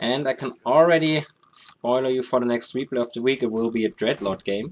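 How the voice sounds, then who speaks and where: Speaking with a German accent, a man keeps a medium pitch and a fairly quick pace with ordinary pitch variation. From Germany. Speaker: esports caster. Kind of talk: live commentary.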